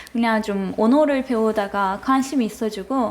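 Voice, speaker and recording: Amid noticeable background noise, a woman with a Turkish accent speaks at a moderate pace, her fairly high pitch showing ordinary variation. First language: Turkish (speaking Korean). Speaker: university student. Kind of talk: casual chat. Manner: halting.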